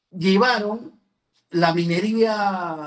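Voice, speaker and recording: This is a man's voice. His pitch sits high. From Peru, San Ignacio province, Cajamarca. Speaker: political candidate and lawyer. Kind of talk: interview. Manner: halting.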